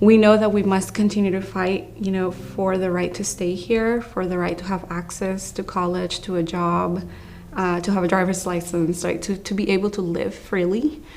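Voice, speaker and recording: An unremarkable speaking voice with an American accent moves at a moderate pace with hardly any pauses. The intonation stays fairly even. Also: woman, medium pitch for a woman. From came to the US young, grew up in the States. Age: 30s. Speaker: immigrant rights organizer. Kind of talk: testimony.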